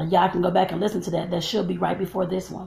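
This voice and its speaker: A woman with vocal fry speaks at medium pitch in monotone, flat intonation. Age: 40s. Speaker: vlogger and life coach. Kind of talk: casual vlog monologue. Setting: at home filming while braiding hair. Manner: chatty, with filler words.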